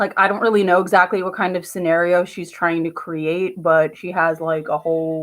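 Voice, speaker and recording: In a New Jersey accent, a woman speaks at a moderate pace with fairly low pitch and monotone, flat intonation. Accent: New Jersey American. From New Jersey, US. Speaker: vlogger. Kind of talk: casual vlog monologue. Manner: rambling with many fillers.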